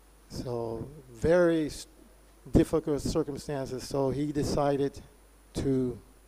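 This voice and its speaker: A man's fairly high-pitched voice, dark and mellow in tone, with fairly even intonation. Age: 60s. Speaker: religious lecturer. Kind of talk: lecture.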